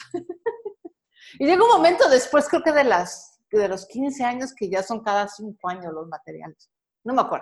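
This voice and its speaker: With a Mexican accent, a woman with a high voice speaks at a fairly slow pace, her pitch swinging very widely and her loudness in big swings. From Mexico. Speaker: personal finance advisor and podcaster. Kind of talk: casual interview conversation.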